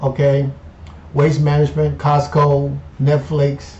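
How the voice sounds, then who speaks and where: A somewhat breathy male voice at a moderate pace. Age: 50s. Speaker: finance YouTuber. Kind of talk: casual vlog monologue. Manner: animated.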